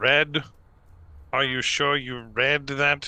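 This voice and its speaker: A man does a put-on character voice, fairly high in pitch and delivered in a flat monotone. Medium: actual play.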